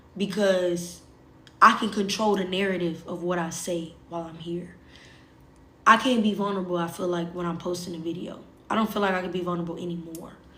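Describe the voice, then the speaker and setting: Talking at a fairly quick pace, a woman with a fairly low pitch uses a bright, sharp tone and flat, monotone intonation, with audible room echo. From US South. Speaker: social media livestreamer. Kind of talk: casual livestream chat.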